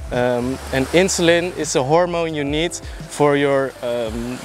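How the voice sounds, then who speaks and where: A man with a Dutch accent talks at a fairly slow pace, his pitch fairly high and his intonation fairly even. Noticeable background noise is present. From Netherlands. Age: 20s. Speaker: martial arts trainee sharing experience. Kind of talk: informal explainer vlog. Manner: halting, with fillers.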